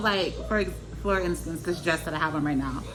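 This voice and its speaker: Music plays in the background as a woman talks at a moderate pace. Room echo is audible. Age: 30s. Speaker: vlogger sharing personal experiences. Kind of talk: casual personal vlog. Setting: at home with children nearby. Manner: relaxed, many filler words.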